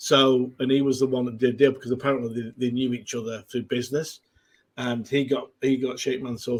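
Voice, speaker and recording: With a Mancunian accent, this man talks at a medium pitch and with fairly even intonation. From northern England, Manchester. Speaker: football fan guest. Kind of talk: casual chat. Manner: halting.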